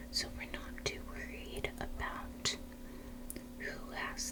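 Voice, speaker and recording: Over noticeable background noise, the voice comes through as a whisper. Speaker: ASMR puzzle-solving YouTuber. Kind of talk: ASMR puzzle-solving narration. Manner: soft-spoken, whispered.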